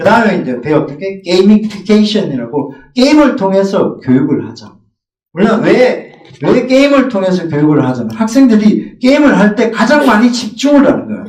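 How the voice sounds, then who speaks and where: With a slight Gyeongsang accent, a man with a high voice talks at a moderate pace. His pitch swings very widely and his loudness rises and falls sharply. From Gyeongsang region, South Korea. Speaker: middle school math teacher. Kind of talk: teacher training presentation.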